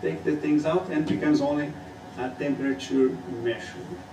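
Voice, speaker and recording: Over noticeable background noise and audible room echo, a man speaks at medium pitch with very wide pitch swings. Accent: Portuguese. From Brazil. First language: Portuguese. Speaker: student. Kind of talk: student presentation.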